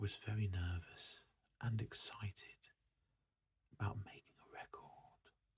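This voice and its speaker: Soft-spoken and somewhat breathy, a man with a fairly low pitch has a dark, mellow tone and monotone, flat intonation. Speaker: ASMR creator. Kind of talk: ASMR book showcase, soft-spoken reading. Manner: soft-spoken, relaxing.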